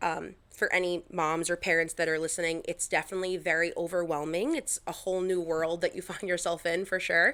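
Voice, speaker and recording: In a very clean recording with a silent background, a woman with a Long Island accent speaks fairly quickly and with hardly any pauses, her fairly low-pitched voice bright and sharp and her intonation fairly even. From Long Island, New York. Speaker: Instagram content creator. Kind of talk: podcast interview. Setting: podcast recording.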